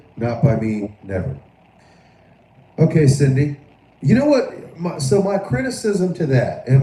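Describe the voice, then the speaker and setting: Somewhat breathy and dark, mellow in tone, a man with an American accent speaks at a fairly slow pace with very wide pitch swings. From Florida. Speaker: live stream political commentator. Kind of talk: live stream commentary. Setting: live stream. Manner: halting, repetitive.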